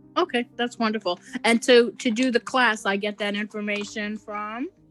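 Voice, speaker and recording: A woman's fairly high voice at a moderate pace, with ordinary pitch variation, a dry, close sound free of echo, and music in the background. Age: 60s. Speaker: defendant in traffic court. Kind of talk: court hearing. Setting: video call.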